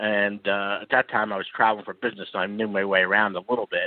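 This man speaks with a Philadelphia accent at a fairly low pitch. His pace is very fast. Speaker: caller. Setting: phone call.

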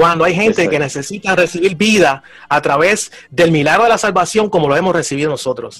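This man has a high pitch and talks at a fairly quick pace. His loudness stays very even throughout. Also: ordinary pitch variation. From Puerto Rico, Humacao. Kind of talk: preaching exhortation.

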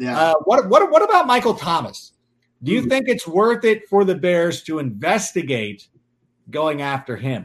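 This man's pitch swings very widely as he talks at a moderate speed. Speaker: podcast host. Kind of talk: casual sports chat.

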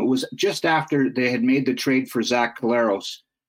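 The speaker has a Canadian accent and talks at a moderate pace with ordinary pitch variation. It is a plain, everyday voice. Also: man. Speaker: football team website writer. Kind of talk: casual sports talk interview.

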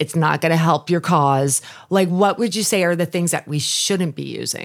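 With an American accent and a plain, everyday voice, a woman speaks at a moderate pace in a fairly low pitch with lively intonation. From New York, Long Island. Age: 50s. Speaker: podcast host. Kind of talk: casual interview.

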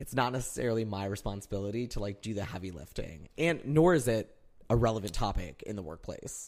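Talking very fast with an American accent, a man uses lively intonation at a fairly low pitch. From Northern Illinois, US. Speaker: guest, friend of host, lives in New York. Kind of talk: casual chat between friends. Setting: recording in host's apartment.

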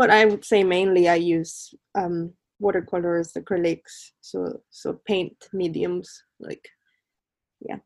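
A woman speaks at a very slow pace with long, frequent pauses and a fairly low pitch. Her intonation is fairly even, while her loudness swings widely. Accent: Spanish. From Mexico, Colima. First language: Spanish. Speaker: artist. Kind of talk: interview.

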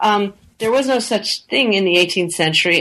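A woman's medium-pitched, normal speaking voice at a moderate pace, with ordinary pitch variation. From English-speaking Canada. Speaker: historian. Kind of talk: interview.

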